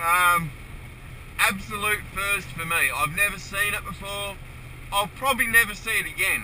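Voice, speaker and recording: With an Australian accent, a man in a raised, projected voice speaks at a moderate pace and high pitch, his tone amused, his pitch variation ordinary, and his pauses long and frequent. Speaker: truck driver. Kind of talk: casual talk to camera. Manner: amused, swearing.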